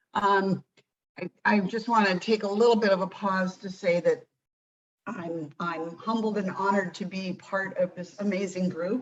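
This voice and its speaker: Using a plain, everyday voice, a woman speaks at a medium pitch and moderate pace with fairly even intonation. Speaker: program trainer. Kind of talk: training presentation.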